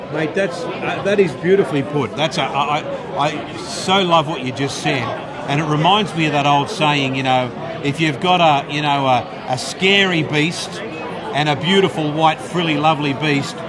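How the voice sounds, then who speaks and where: A fairly high-pitched man with an Australian accent at a moderate pace, with ordinary pitch variation, audible room echo, and noticeable background noise. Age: 60s. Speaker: radio presenter and rugby league commentator. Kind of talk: casual interview. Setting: live event at a club luncheon.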